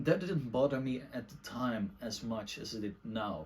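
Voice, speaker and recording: With a Dutch accent, a man talks at a moderate pace. His medium pitch has ordinary pitch variation. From Netherlands. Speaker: book reviewer / video essayist. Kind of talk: casual monologue book review. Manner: halting, many fillers.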